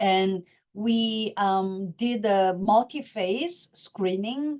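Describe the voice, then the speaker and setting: Her voice sits at a medium pitch as this woman speaks with ordinary pitch variation. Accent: Korean. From South Korea. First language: Korean. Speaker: professor of psychiatry. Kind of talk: lecture. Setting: webinar. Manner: halting.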